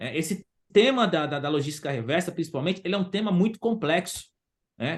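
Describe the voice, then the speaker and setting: A man with a high voice talking at a very fast pace, with ordinary pitch variation. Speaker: waste pickers' organization leader. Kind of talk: online forum discussion. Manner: halting, many repetitions.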